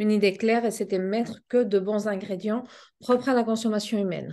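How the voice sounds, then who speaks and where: Speaking at a moderate pace with a slight Spanish accent, a woman uses a medium pitch, a dark, mellow tone and fairly even intonation over a quiet background. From Spain. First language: Spanish (speaking French). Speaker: pet food business owner. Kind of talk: interview.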